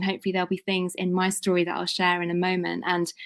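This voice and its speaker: Very fast and with a British accent, a woman speaks at a fairly low pitch, recorded very cleanly against a silent background in a dry, close sound with no echo. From UK. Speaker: women's leadership consultant. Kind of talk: conference presentation.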